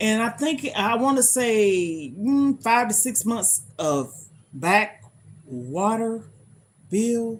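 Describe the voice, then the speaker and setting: Speaking at a fairly high pitch, a woman swings very widely up and down. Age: 50s. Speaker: lifestyle livestreamer. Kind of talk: casual livestream chat. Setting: livestream.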